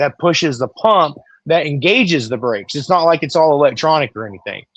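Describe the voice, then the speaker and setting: This man has a normal speaking voice at a fairly high pitch, with ordinary pitch variation. The sound is dry and close, with no echo. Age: 40s. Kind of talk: casual chat. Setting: live stream.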